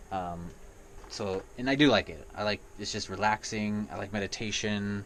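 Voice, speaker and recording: This man has a normal speaking voice, pitched fairly low, with ordinary pitch variation. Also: moderate pace, big swings in loudness. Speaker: gaming vlogger. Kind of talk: casual vlog monologue. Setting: indoors in an RV.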